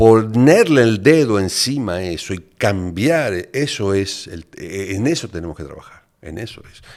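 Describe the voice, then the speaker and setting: With an unremarkable speaking voice, a man at a fairly low pitch talks at a fairly slow pace, with lively intonation and big swings in loudness, on a very clean recording with a silent background. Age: 60s. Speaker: neuroscientist and addiction specialist. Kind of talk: podcast interview.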